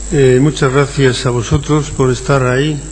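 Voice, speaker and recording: Fairly high male pitch in a monotone, flat delivery, with noticeable background noise and audible room echo. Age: 60s. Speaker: sociology professor. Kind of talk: conference lecture. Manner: halting.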